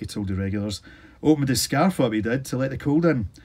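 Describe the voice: It is plain reading aloud with lively intonation.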